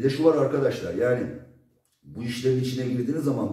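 Somewhat breathy, a man talks at a very fast pace in a medium pitch with ordinary pitch variation and a dark, mellow tone. The room echo is audible, but the background is quiet. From Turkey. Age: 40s. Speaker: drone developer. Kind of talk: product demo. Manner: casual. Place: workshop. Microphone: camera far.

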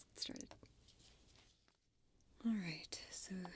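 A woman's fairly high voice with vocal fry and a dark, mellow tone, at a moderate pace over light background noise. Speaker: ASMR artist and crafter. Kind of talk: soft-spoken ASMR ramble while crafting. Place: workshop.

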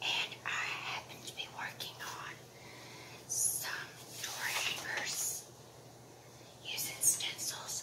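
A woman whispers at a very slow pace, with long, frequent pauses between her words. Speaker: craft tutor. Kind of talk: crafting tutorial talk to camera. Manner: whispered. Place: home room. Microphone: phone near.

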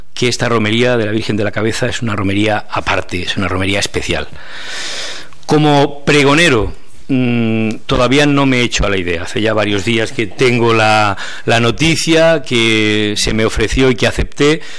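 With ordinary pitch variation and a moderate pace, a man talks against a quiet background. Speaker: journalist, appointed festival proclaimer. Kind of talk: press conference speech. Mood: warm, humble, enthusiastic. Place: meeting room. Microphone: podium.

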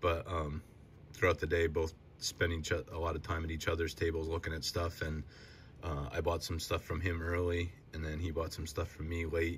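Somewhat breathy speech comes at a moderate pace in a flat monotone, with light background noise. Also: man, very deep, low pitch for a man. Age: 30s. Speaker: sports card collecting youtuber. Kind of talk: casual solo video show-and-tell. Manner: halting, many filler words. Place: home room. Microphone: phone near.

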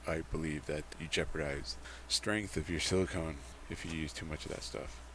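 A man speaks with a very deep, low pitch and vocal fry. The sound is dry with no echo, over light background noise. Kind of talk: tutorial. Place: workshop.

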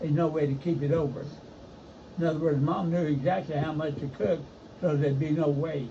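Fairly high in pitch, a man with an Appalachian accent speaks fairly quickly but with long, frequent pauses, his intonation fairly even, amid noticeable background noise and audible room echo. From eastern Kentucky, Letcher County. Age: 80s+. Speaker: retiree recalling rural childhood. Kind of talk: casual chat.

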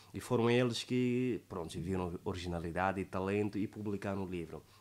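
A man with a fairly low pitch speaks at a moderate pace, his pitch varying in an ordinary way. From Angola. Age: 20s. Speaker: poet and declaimer. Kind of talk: interview answer. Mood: earnest, calm. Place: studio. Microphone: studio mic.

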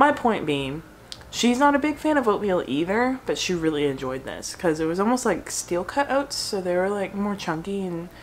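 A woman's pitch swings very widely over light background noise. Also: moderate pace. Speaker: food blogger. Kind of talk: casual vlog chat. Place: home room. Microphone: phone near.

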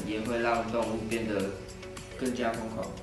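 A man talks at a fairly low pitch, and the room echo is audible. Music plays clearly in the background.

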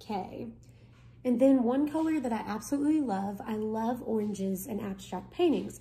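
Her voice somewhat breathy and fairly high in pitch, a woman speaks at a moderate pace with ordinary pitch variation and a dark, mellow tone. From Kentucky. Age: 20s. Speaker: art tutorial presenter, college student; art teacher. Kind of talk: tutorial. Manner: casual. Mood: relaxed, friendly. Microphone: phone near.

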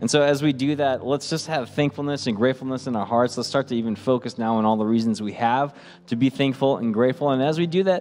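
A man speaks very fast with hardly any pauses and ordinary pitch variation. Faint music plays in the background. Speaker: pastoral staff worship leader. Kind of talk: church welcome address. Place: church. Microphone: studio mic.

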